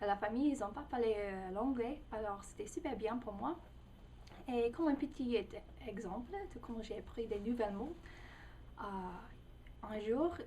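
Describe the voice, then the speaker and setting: A woman with an American accent talks at a fairly high pitch, with long, frequent pauses. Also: ordinary pitch variation, fairly slow pace. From United States. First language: English (speaking French). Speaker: language learner, English tutor. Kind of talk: personal video testimony. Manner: halting, many hesitations.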